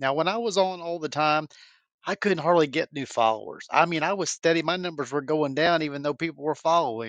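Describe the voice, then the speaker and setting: Fairly high in pitch, a man talks at a fairly quick pace in an unremarkable speaking voice, with a dry, close sound and no echo. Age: 50s. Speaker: caller. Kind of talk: casual chat.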